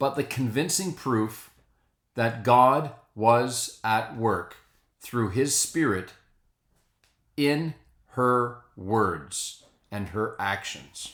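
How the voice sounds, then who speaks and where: Speaking at a very slow pace, a man leaves long, frequent pauses. His pitch is medium and his intonation lively. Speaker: priest. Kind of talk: spoken reflection to camera.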